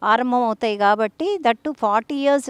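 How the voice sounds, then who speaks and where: In a very clean recording with a silent background and a dry, close sound with no echo, a woman has a normal speaking voice at a fairly high pitch with ordinary pitch variation. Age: 60s. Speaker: doctor. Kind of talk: health advice talk.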